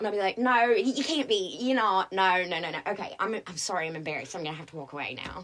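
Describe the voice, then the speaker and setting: Talking at a very fast pace with hardly any pauses, a woman with an American accent uses lively intonation, a medium pitch and big swings in loudness over noticeable background noise. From North Carolina, Greensboro. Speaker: actress. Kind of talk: casual chat. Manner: animated.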